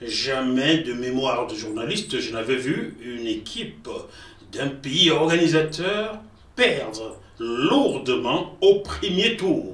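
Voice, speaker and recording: A man talks at a very slow pace with very wide pitch swings, and audible room echo surrounds his voice. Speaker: football journalist. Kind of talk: news commentary.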